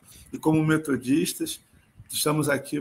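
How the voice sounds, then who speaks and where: Speaking at a fairly slow pace, a man with a fairly high pitch has a bright, sharp tone and vocal fry. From Rio de Janeiro, Brazil. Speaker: pastor. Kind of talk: sermon.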